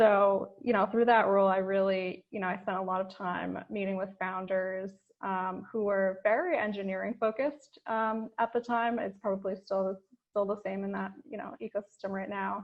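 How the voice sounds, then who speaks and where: In an ordinary speaking voice with an American accent, a woman talks at a moderate pace and medium pitch, her intonation fairly even. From New York (the Bronx). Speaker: venture capital investor. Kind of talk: informal talk to founders over video call.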